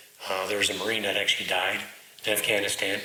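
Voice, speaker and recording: Noticeable noise sits in the background. The man's voice carries audible echo from the room. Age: 40s. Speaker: knife maker and military veteran. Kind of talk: casual interview chat.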